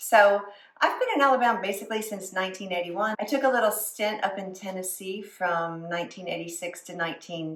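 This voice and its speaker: At a fairly quick pace and with hardly any pauses, a woman speaks in a medium pitch with ordinary pitch variation. Her loudness swings widely, with noticeable background noise and audible room echo. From US South. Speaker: food and lifestyle vlogger. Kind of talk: casual vlog talk to camera.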